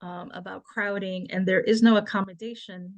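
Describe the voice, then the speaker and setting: Over a quiet background, a woman speaks at a fairly quick pace in a somewhat breathy voice with fairly even intonation. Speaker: panelist on family focus groups. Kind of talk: webinar presentation.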